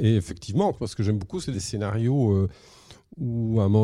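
The sound is dry and close, without any echo. A man speaks fairly quickly in a dark, mellow tone. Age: 50s. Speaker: comic book writer. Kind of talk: interview.

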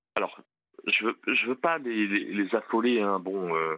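With lively intonation, a man draws out his words at a very slow pace. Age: 50s. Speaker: police officer. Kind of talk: testimony.

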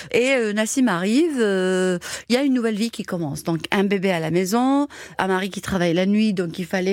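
The speaker is a woman with a medium pitch. She talks at a moderate pace. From Algeria, Algiers area, Kabyle family. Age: 50s. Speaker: caterer. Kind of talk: personal testimony. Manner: energetic; hesitant fillers.

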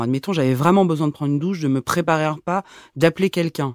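Speech at a fairly quick pace with a dry, close sound and no echo. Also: woman, very clean recording, silent background. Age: 30s. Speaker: midwife and podcast host. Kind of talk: scripted narration.

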